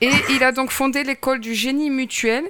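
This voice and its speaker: Noticeable background noise behind a woman's voice. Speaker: podcast host. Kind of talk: interview.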